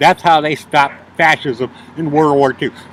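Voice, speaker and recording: A man talks at a moderate speed while noticeable noise fills the background. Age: 60s. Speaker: homeless traveler. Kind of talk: interview testimony. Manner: halting.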